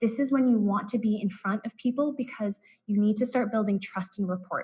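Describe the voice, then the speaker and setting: A woman with an American accent talks at a fairly quick pace, her pitch fairly high and her intonation fairly even. Her tone is dark and mellow, and somewhat breathy. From US West Coast, San Francisco Bay Area. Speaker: business consultant presenting a workshop. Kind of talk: live-streamed presentation. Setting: live online stream. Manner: fast.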